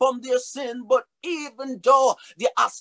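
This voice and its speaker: A man speaks in a raised, projected voice at an extremely high pitch, with a bright, sharp, animated tone. His pace is fairly slow against a quiet background. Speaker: preacher. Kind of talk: sermon. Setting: virtual church service. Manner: animated, rhythmic preaching; urgent, earnest appeals to the congregation. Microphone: webcam.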